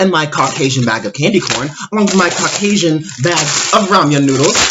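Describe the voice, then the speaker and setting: Pitch swings very widely at a moderate pace. Noticeable background noise is present. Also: man. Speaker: K-pop commentator. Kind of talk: casual talk to camera. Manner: sarcastic.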